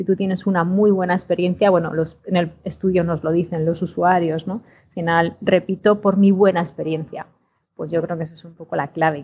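A woman with a fairly low pitch talks at a moderate pace in a flat, monotone way, her voice somewhat breathy and her loudness swinging widely. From Spain, Segovia. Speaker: industry association executive. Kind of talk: casual chat. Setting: remote call.

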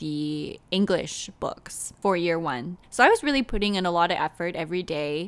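A woman speaks in a plain, everyday voice at a fairly low pitch and fairly slow pace, with ordinary pitch variation. The recording is very clean, with a silent background. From Canada. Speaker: podcast host and author. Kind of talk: solo podcast monologue.

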